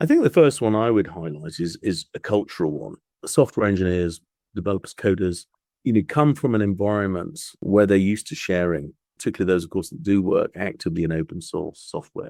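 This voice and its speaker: A man with a British accent and a fairly low, dark, mellow voice at a fairly quick pace, the sound dry and close with no echo, the recording very clean with a silent background. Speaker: patent attorney. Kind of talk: podcast interview. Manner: hesitant, with fillers and repeats.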